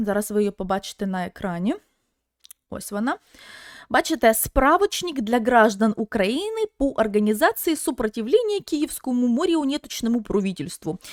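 A woman speaks at a moderate pace with a fairly high pitch and very wide pitch swings, her tone animated. The recording is very clean with a silent background and a dry, close sound with no echo. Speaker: video blogger and streamer. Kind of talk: live stream chat. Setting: live stream with video-call guests.

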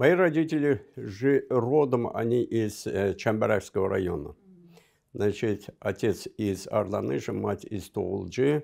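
In an Azerbaijani accent, a man speaks at a very slow pace with lively intonation. His tone is dark and mellow with vocal fry, and the background is quiet. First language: Azerbaijani (speaking Russian). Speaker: diplomat; guest. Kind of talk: interview; interview answer. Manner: halting. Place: studio. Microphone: lapel.

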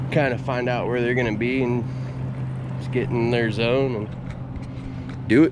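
Over loud background noise, a man speaks in a dry recording with no echo. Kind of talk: casual vlog tutorial. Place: boat. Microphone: phone near.

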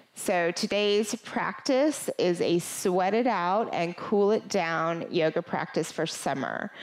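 Behind her, all is quiet. The woman speaks at a very slow pace. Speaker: yoga instructor. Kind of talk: sponsor intro then class introduction. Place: home room. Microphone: headset.

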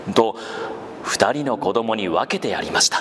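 A man at a fairly slow pace over noticeable background noise. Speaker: voice actor. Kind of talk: live literary reading to children.

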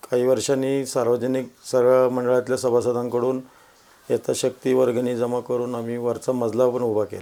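A man's medium-pitched voice, flat and monotone in its intonation. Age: 50s. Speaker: social worker and local election candidate. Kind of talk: interview. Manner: calm, measured.

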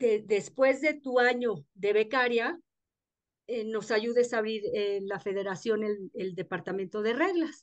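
A woman speaks at a very slow pace with a fairly high pitch. The background is quiet. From Mexico City. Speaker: golf federation rules director; guest. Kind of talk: interview in an online class. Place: home room. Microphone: video call.

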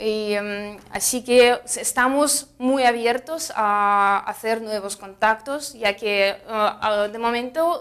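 Over a quiet background, a woman with a Russian accent speaks at a fairly high pitch. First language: Russian (speaking Spanish). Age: 20s. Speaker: fruit importer representative. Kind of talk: interview. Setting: trade fair. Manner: halting, many fillers. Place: studio.

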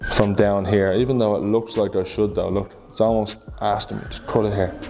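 A man talks at a fairly quick pace with a fairly low pitch and fairly even intonation. His tone is slightly mellow with vocal fry, over faint background noise.

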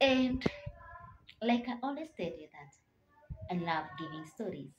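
Somewhat breathy, a woman's voice makes very wide pitch swings over light background noise. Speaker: motivational vlogger. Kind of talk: motivational talk to camera. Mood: earnest, encouraging. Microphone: phone near.

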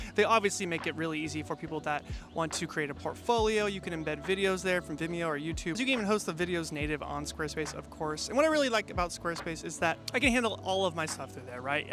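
Over clear background music, a man with a high pitch speaks very fast with hardly any pauses, the sound dry with no echo. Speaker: filmmaker youtuber. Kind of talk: casual vlog chat with sponsor read. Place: garden. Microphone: handheld.

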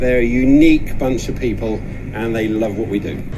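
Noticeable background noise accompanies a man talking at a fairly quick pace. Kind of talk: interview answer. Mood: cheerful, enthusiastic. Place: boat. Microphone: handheld.

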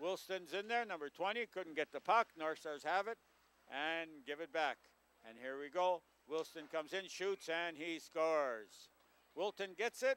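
A man with a Canadian accent talks in a high pitch at a fairly slow pace, with a dry sound and no echo. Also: lively intonation. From Canada, Manitoba. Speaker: local hockey play-by-play commentator. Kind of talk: live hockey play-by-play commentary. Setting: local TV broadcast at a rink. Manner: casual, hesitant, self-correcting with frequent uhs. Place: stadium.

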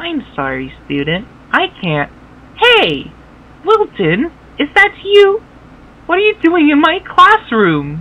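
In a cartoonish character voice with high pitch, the speaker goes at a fairly slow pace with long, frequent pauses. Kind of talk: kids' edutainment game voice. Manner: friendly, then stern.

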